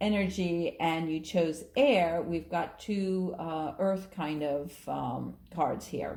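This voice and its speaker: A woman's somewhat breathy voice carries ordinary pitch variation. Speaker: astrologer and tarot reader. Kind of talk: tarot reading video. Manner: animated.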